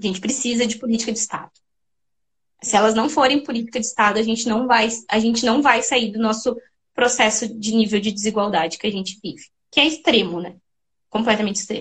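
A woman's fairly high, somewhat breathy voice moves at a fairly quick pace with fairly even intonation, big swings in loudness, and long, frequent pauses. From Rio Grande do Sul, Brazil (Serra Gaúcha). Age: 30s. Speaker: doctoral researcher in education. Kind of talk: interview.

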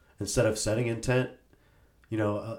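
A man's medium-pitched voice, somewhat breathy, with fairly even intonation. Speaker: podcast co-host. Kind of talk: casual chat. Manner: laughs often.

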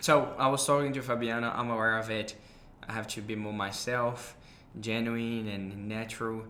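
A man speaks with a Brazilian accent and a bright, sharp tone. His intonation stays flat and monotone. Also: medium pitch for a man, moderate pace. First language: Portuguese. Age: 20s. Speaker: podcast host. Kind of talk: casual conversation, podcast intro. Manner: hesitant, fillers.

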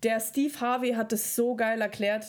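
A woman talks at a fairly slow pace. The recording is very clean, with a silent background. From Germany, Regensburg (Bavaria); born in Kazakhstan. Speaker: podcast co-host. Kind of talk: casual chat.

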